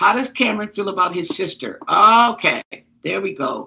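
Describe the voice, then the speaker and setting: Her tone is bright and sharp. The woman speaks at a moderate pace. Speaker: tarot reader. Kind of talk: live tarot reading. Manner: halting, many fillers.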